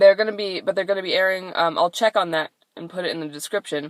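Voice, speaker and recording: In a very clean recording with a silent background and a dry, close sound with no echo, a woman speaks at a fairly low pitch with an American accent. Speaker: actor and vlogger. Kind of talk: casual vlog. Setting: in a car. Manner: animated.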